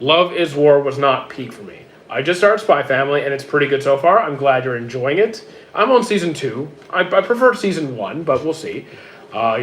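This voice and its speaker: Noticeable background noise sits behind a man with fairly high pitch. His intonation is lively, and his loudness swings widely. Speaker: streamer reading chat. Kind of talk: casual, conversational. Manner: stutters heavily, frequent hesitations and repeated words.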